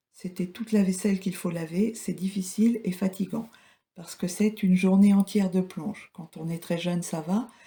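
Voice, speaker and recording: In a very clean recording with a silent background, a woman with a dark, mellow, somewhat breathy tone speaks in a flat monotone with big swings in loudness. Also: medium pitch for a woman, moderate pace. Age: 60s. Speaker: retiree, former care home worker. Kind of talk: interview.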